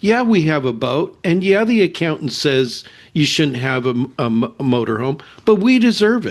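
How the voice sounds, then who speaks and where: With a General American accent, a man speaks at a moderate pace, his pitch making very wide swings. The background is quiet. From US West, California. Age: 70s. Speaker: behavioral scientist and ministry leader. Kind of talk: interview testimony.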